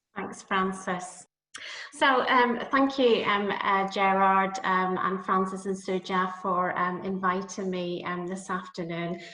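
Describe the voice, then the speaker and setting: A woman with a Northern Irish accent speaks very slowly at medium pitch with fairly even intonation, with audible room echo. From Northern Ireland. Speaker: nursing academic. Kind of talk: lecture. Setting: video call. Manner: hesitant, many fillers.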